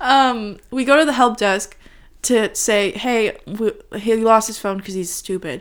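On a very clean recording with a silent background, a woman with an American accent speaks at a fairly slow pace with ordinary pitch variation. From US, Los Angeles. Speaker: host's partner. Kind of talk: casual chat. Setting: at home on the sofa.

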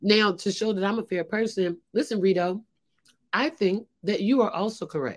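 On a very clean recording with a silent background, a woman with an unremarkable speaking voice talks at a moderate pace and medium pitch, with ordinary pitch variation. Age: 40s. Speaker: comedian. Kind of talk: casual chat.

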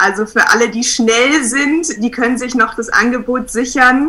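A very slow pace against noticeable background noise. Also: woman. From Munich, Bavaria. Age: 20s. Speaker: photographer. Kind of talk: casual interview.

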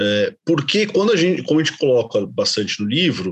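A man is speaking. The pitch of his voice swings very widely. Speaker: podcast co-host, business administrator. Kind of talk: interview.

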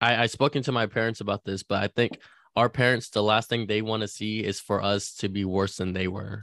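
Speaking at a moderate pace with a Californian accent, a man uses a fairly low pitch and fairly even intonation on a very clean recording with a silent background and a dry, close sound with no echo. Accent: general Californian American. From California, child of Chinese immigrants. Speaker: sports podcast host. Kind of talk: casual chat.

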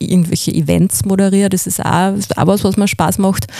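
A woman of medium pitch speaks with fairly even intonation. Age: 40s. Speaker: voice-over artist and former radio presenter. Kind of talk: interview.

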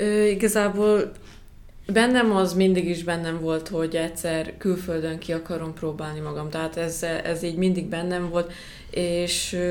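The speech moves at a fairly slow pace. There is audible room echo. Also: woman, fairly low pitch for a woman, fairly even intonation. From Hungary, Szekszárd. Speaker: professional basketball player. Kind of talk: interview.

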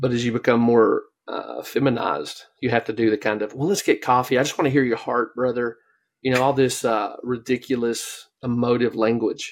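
A man with an unremarkable speaking voice talks at a moderate pace and medium pitch. His intonation is fairly even, and the recording is very clean with a silent background. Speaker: podcast co-host. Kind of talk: casual interview chat.

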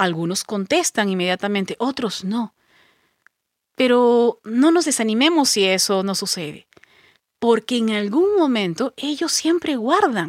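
A woman speaks at a fairly slow pace in a fairly high pitch with very wide pitch swings. The recording is very clean, with a silent background. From Peru, Pisco (southern coast). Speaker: voice actor and psychologist. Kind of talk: interview conversation.

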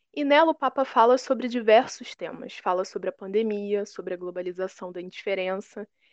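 This woman has an unremarkable speaking voice with ordinary pitch variation, and she speaks at a moderate speed. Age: 20s. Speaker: history teacher. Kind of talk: lecture.

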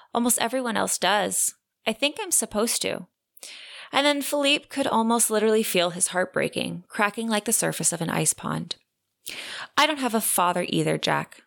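On a very clean recording with a silent background and a dry, close sound with no echo, a woman with a fairly high pitch speaks with lively intonation and vocal fry. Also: moderate pace. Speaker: podcast host, romance book reviewer. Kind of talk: dramatic narration, reading a passage aloud with tender, earnest delivery. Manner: casual, chatty.

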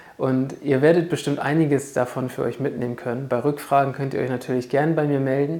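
This woman's pitch is very deep and low, and she talks at a fairly quick pace with fairly even intonation. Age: 30s. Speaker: trading mindset coach and podcast host. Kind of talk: solo podcast monologue, explanatory.

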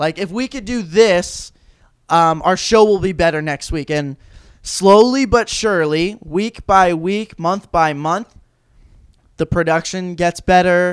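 Loud and fairly slow, a man speaks at a high pitch in a very clean recording with a silent background, the sound dry and close with no echo. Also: ordinary pitch variation. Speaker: college sports podcast host. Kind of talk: casual chat.

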